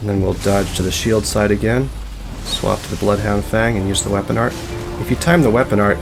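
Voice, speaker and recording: A man speaks at a fairly quick pace while music sounds in the background. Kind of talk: soft-spoken gaming tutorial narration, relaxed commentary over gameplay. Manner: soft-spoken, relaxed, calm.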